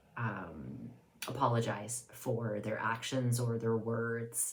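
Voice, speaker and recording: A woman speaks with a very deep, low pitch, and audible room echo surrounds her voice. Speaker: video blogger. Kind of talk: casual monologue. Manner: hesitant, many fillers.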